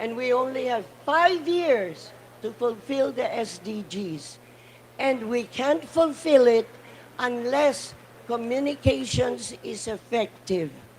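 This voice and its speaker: Very slowly, a woman speaks in a high pitch with lively intonation and big swings in loudness. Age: 80s+. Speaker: panel speaker, cultural advocate. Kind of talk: conference speech. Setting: conference side event panel. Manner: impassioned.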